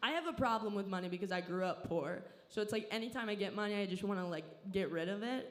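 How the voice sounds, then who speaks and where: Over noticeable background noise and audible room echo, a woman with an American accent talks at a very fast pace at medium pitch, with lively intonation and very even loudness. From Southern California. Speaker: comedian. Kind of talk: stand-up. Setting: stage with audience.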